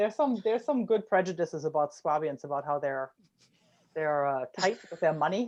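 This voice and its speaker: The speaker talks fairly quickly with a German accent. The background is quiet. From Germany, Rhineland. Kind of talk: casual chat.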